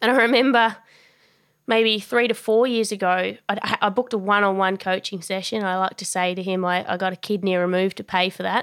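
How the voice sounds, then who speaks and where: A woman with an Australian accent and a medium pitch talks at a fairly quick pace with fairly even intonation. The recording is very clean, with a silent background. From Australia, Tasmania. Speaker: boxing and performance coach. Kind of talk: interview.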